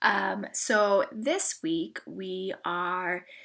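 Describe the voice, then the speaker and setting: Her pitch is medium for a woman. She moves through very wide pitch swings. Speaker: university lecturer. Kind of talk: lecture. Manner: casual.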